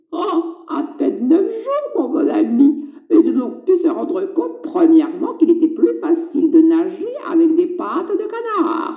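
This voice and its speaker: The voice is a cartoonish character voice pitched extremely high. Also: moderate pace. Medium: puppet. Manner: playful, teasing, falsely innocent.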